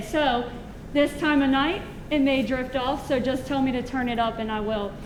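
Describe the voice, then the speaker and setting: A woman speaks loudly in a high pitch with fairly even intonation, amid audible room echo and noticeable background noise. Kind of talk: educational presentation.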